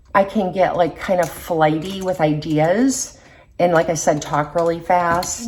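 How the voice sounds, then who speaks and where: Noticeable background noise sits behind a woman who talks at a medium pitch and a fairly slow pace. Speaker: beauty vlogger. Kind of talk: casual chat.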